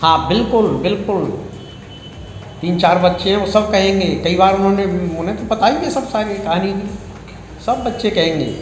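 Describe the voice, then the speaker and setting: The recording has audible room echo and noticeable background noise. The speaker leaves long, frequent pauses. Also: man, high pitch for a man, ordinary pitch variation. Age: 70s. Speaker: aggrieved husband. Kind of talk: news interview.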